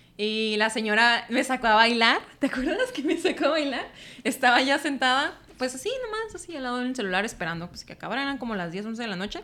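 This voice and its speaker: Lively intonation marks a woman's high-pitched voice as she talks at a fairly quick pace. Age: 20s. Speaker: environmental engineer. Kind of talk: casual chat.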